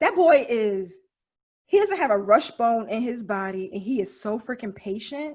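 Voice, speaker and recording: At a moderate pace, a woman with a fairly high pitch speaks in an animated tone with lively intonation. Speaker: podcast co-host. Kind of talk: casual chat.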